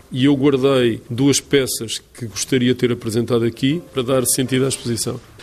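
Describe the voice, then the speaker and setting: A man speaks with hardly any pauses. His intonation is monotone and flat. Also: medium pitch for a man, moderate pace. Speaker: art curator. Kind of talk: interview. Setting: art gallery.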